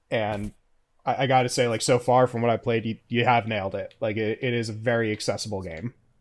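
In a very clean recording with a silent background, a man with an American accent talks fairly quickly in a normal speaking voice of medium pitch with fairly even intonation. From US South. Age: 30s. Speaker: podcast host. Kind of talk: interview.

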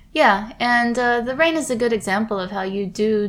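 A woman with an American accent talks at a moderate pace with ordinary pitch variation. It is a normal speaking voice. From United States. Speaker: podcast co-host. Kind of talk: casual chat.

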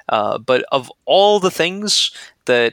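This man has an American accent and a bright, sharp tone with lively intonation. The sound is dry and close, with no echo. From US Northeast, Brooklyn. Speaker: glider pilot. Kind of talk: interview.

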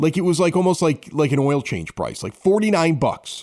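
Someone with a Chicago accent talks at a moderate pace. The recording is very clean, with a silent background. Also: man. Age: 40s. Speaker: podcast host. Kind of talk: casual chat. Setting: home studio in a basement.

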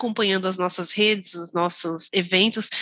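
Bright and sharp in tone, a woman speaks at a moderate pace with ordinary pitch variation. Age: 30s. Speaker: front-end developer. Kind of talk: casual chat.

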